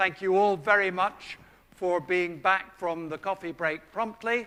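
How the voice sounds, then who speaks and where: A man with a Scottish accent, high in pitch, bright, sharp in tone, at a fairly slow pace. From Scotland. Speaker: orthodontist and lecturer. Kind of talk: conference lecture.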